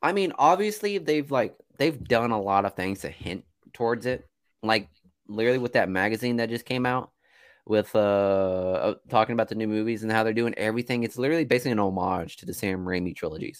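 A man's ordinary speaking voice, medium in pitch, with ordinary pitch variation and a fairly quick pace. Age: 20s. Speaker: movie podcast co-host. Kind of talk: casual chat. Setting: video call.

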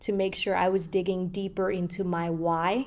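A woman speaks at a medium pitch and a fairly slow pace, in a plain, everyday voice. The recording is very clean, with a silent background. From Somalia, moved to the US as a child. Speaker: journalist. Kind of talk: interview.

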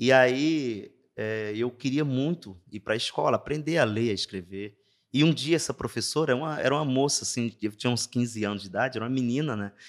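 A man with a plain, everyday voice speaks at a medium pitch and a fairly quick pace. The recording is very clean, with a silent background. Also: ordinary pitch variation. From Brazil, interior of Ceará (Juazeiro do Norte). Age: 40s. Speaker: navy non-commissioned officer. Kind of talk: interview storytelling.

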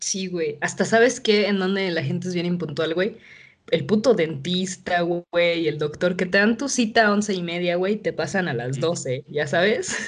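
A woman has an unremarkable speaking voice with a fairly low pitch. She talks at a moderate pace with ordinary pitch variation. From Mexico City. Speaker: podcast host. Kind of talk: casual chat.

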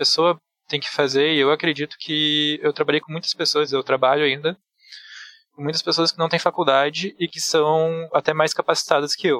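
A man's fairly high, bright and sharp voice at a moderate pace, dry and close with no echo. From Rio Grande do Sul, Brazil (Bento Gonçalves). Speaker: programmer. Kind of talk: casual chat.

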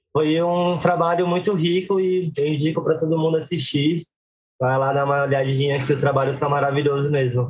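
A man's somewhat breathy, fairly high voice at a fairly quick pace, fairly even in intonation and very even in loudness. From Brazil, Guarulhos (São Paulo). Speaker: circus performer and juggler. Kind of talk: interview. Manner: halting.

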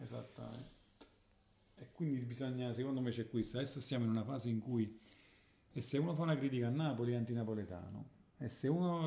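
A man speaks at medium pitch in a dark, mellow tone with ordinary pitch variation. His pace is fairly quick, and audible room echo is present. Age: 40s. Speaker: guitarist. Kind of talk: casual interview.

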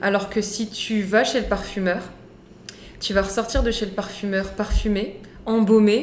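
In a room with audible echo, a woman is speaking. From France, Moroccan heritage. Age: 30s. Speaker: serial entrepreneur. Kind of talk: casual chat.

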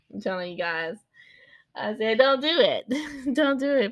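A woman speaks in an animated, calm tone, her pitch swinging very widely. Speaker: podcast host, mother of seven. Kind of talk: casual monologue. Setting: home recording at desk. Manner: animated, switching from calm to loud.

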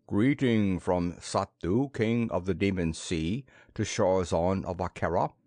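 In a booming, put-on character voice, a man speaks at a fairly slow pace with a very deep, low pitch. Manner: formal, proclaiming.

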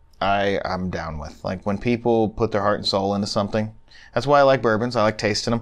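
Fairly low in pitch with ordinary pitch variation, the man has an ordinary speaking voice. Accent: American. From Phoenix, Arizona. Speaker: physical therapist. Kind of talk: casual chat.

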